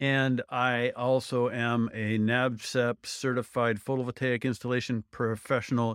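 Speaking in an Upper Midwest accent, a man keeps a medium pitch and a monotone, flat delivery with hardly any pauses. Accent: Upper Midwest American. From US Midwest. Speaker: solar installer and instructor. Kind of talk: interview.

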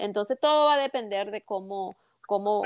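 A woman talks in a normal speaking voice, pitched fairly high, at a moderate pace. The sound is dry and close with no echo, and her pitch varies in an ordinary way. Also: quiet background. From Venezuela, Carabobo coast. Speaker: mortgage broker. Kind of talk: interview.

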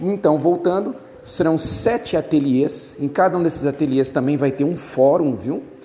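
Amid noticeable background noise, a man with a fairly high pitch talks at a moderate pace with lively intonation. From Brazil, Rio Grande do Sul. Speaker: university lecturer. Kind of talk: recorded lecture to students. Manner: hesitant, many fillers.

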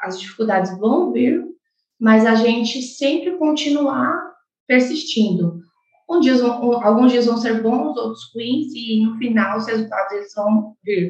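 A woman's normal speaking voice, fairly high in pitch, at a fairly slow pace. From Brazil, Mato Grosso do Sul (Chapadão do Sul). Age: 20s. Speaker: agronomist and farm successor. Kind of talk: interview.

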